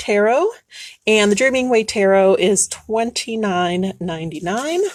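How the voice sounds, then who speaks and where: In a normal speaking voice, a woman talks at a fairly slow pace with a medium pitch. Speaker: shop owner selling tarot decks. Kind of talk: live shopping stream. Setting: live Facebook video in shop.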